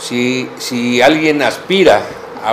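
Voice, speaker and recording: A man's voice with ordinary pitch variation and light background noise. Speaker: professor and doctoral student. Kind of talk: interview. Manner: halting. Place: office. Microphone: camera far.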